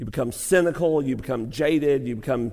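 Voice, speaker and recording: A man with a Southern US accent speaks at a moderate pace and a fairly high pitch. His pitch varies in an ordinary way, and there is audible room echo. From Arkansas (Lake City). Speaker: pastor. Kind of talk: sermon; Q&A session. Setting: college chapel with audience.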